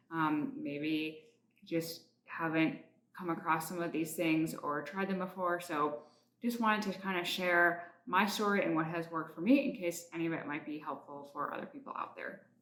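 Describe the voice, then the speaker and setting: Audible room echo around a woman's voice, fairly low in pitch. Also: ordinary pitch variation, moderate pace. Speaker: health coach vlogger. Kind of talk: casual vlog update. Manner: casual, filler-heavy.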